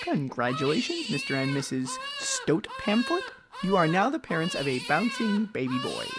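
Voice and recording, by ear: A man's put-on character voice, fairly high in pitch and fairly bright in tone, with very wide pitch swings at a moderate pace over faint background noise.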